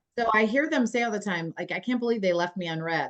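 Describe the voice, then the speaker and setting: A woman with a Philadelphia accent talks at a fairly quick pace with ordinary pitch variation. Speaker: aging services executive. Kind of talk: casual chat.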